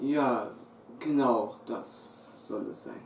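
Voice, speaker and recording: Room echo is audible as a man talks. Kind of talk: acted comedy sketch dialogue. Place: home room. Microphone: camera far.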